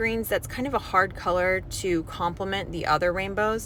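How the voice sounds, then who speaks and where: A woman talks with ordinary pitch variation. Hers is a plain, everyday voice. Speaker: hair colorist. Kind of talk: tutorial.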